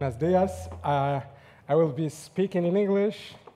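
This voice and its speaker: The man's voice is dark and mellow in tone. It sounds somewhat breathy. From Morocco, near Agadir. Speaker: linguist. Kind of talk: conference talk. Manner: hesitant, many fillers.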